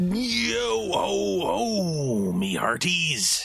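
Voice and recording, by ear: A put-on character voice at a low-to-middle pitch plays over faint music in the background.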